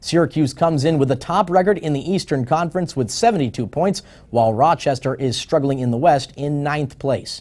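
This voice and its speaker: With a normal speaking voice, a man talks at a fairly quick pace and a fairly high pitch, with ordinary pitch variation and hardly any pauses. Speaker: sports anchor. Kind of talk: local TV sportscast read.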